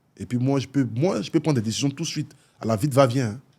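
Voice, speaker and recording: A dark, mellow voice in an Ivorian accent, fairly quick, with ordinary pitch variation, in a very clean recording with a silent background. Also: man. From Côte d'Ivoire. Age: 30s. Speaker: influencer and philanthropist. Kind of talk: talk show interview. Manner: casual, hesitant with fillers.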